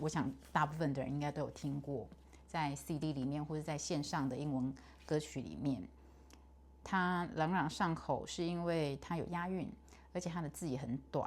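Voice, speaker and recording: A woman speaks with a very deep, low pitch and vocal fry. Her pitch varies in an ordinary way. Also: moderate pace. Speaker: English pronunciation learner. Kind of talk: casual talk to camera.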